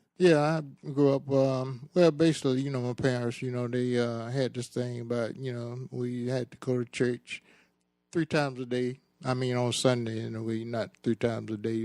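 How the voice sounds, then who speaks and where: In a Georgia accent, a man speaks at a moderate pace with fairly even intonation. The recording is very clean and the background silent. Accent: Southern US, Georgia. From US South, Macon, Georgia. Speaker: interviewee father. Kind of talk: casual chat.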